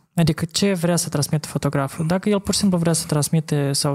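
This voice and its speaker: Somewhat breathy, a man speaks at a fairly quick pace over a quiet background. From Moldova. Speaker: podcast host, former photographer; podcast host. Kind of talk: casual chat. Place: studio. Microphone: studio mic.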